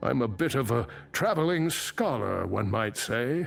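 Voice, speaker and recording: Over faint background music, a man in a put-on character voice speaks fairly slowly at medium pitch, swinging his pitch very widely. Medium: video game. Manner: measured, formal, scholarly.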